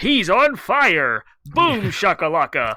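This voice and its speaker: This put-on character voice sits fairly high in pitch and moves at a fairly slow pace. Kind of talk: sports announcer. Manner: hyped, excited.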